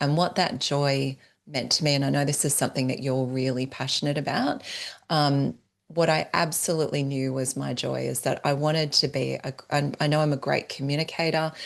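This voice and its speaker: Against a quiet background, a woman with an Australian accent talks at a fairly quick pace in a very deep, low pitch, her intonation monotone and flat. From Australia (northern New South Wales, near Byron Bay). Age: 40s. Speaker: entrepreneur and business strategist. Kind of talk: podcast interview.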